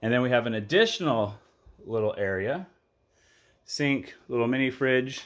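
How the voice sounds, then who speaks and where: At a moderate pace, a man speaks at a medium pitch with ordinary pitch variation over a quiet background. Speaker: real estate broker giving property tours. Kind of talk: video property walkthrough tour. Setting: walking tour of a house, indoors and outdoors. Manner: enthusiastic, casual. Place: home room. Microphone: phone near.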